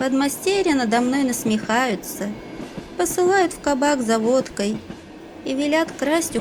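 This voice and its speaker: A woman's very slow speech with very wide pitch swings, over noticeable background noise. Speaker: audiobook narrator. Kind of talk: audiobook reading of a classic short story.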